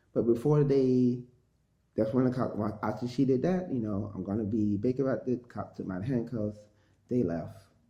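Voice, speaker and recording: Here a man speaks at a medium pitch with ordinary pitch variation. His pace is moderate. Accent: American. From USA. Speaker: vlogger telling personal story. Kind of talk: personal testimony monologue. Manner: loud; animated.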